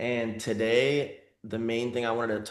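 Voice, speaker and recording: Amid audible room echo, a man speaks at a medium pitch. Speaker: tattoo artist and business mentor. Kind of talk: casual vlog talk to camera; casual group call coaching. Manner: casual, filler-heavy.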